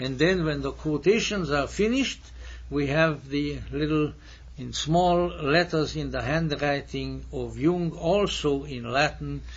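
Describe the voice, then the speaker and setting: The room echo can be heard clearly. A man talks at a very slow rate. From Hungary. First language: Hungarian and German. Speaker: lecturer. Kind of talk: lecture. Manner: formal.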